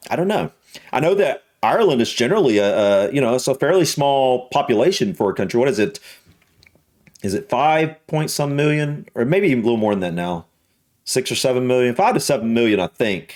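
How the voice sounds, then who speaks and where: With a Southern US accent, a man talks at a fairly quick pace. His medium-pitched voice moves in very wide pitch swings. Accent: Southern American. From US South. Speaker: YouTube reactor. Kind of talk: reaction video commentary. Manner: hesitant, many fillers and repetitions.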